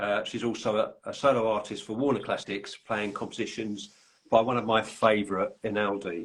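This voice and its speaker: In a London accent, a man speaks at a moderate pace and medium pitch with ordinary pitch variation. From London, England. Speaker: podcast host and author. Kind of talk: casual chat. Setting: live video call. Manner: halting.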